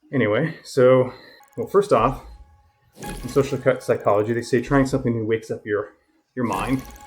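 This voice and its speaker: Long, frequent pauses break up speech with ordinary pitch variation, while music plays in the background. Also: man, medium pitch for a man. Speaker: educator and talent development presenter. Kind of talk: casual vlog monologue while cycling. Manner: fast.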